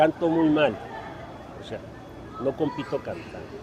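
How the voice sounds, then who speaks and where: A man talks at a fairly high pitch. Noticeable background noise is present. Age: 70s. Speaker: political candidate. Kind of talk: press conference. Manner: animated.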